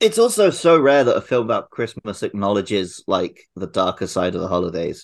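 A man with a British accent talks at a fairly quick pace, with hardly any pauses. The recording is very clean, with a silent background. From UK. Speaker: podcast co-host. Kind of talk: casual chat.

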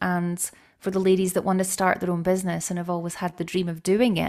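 Over a silent background in a very clean recording, a woman speaks at medium pitch. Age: 30s. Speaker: menopause coach. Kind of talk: interview.

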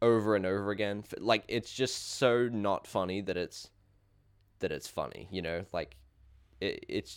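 A man talks in a normal speaking voice at a fairly low pitch. His pitch varies in an ordinary way, and his pace is fairly slow. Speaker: podcast host. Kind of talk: casual chat.

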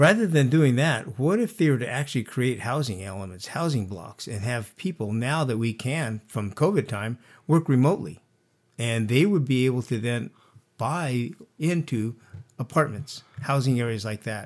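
A man's medium-pitched voice with lively intonation at a moderate pace, on a very clean recording with a silent background. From California, Santa Barbara. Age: 60s. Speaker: former mayor. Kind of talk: interview.

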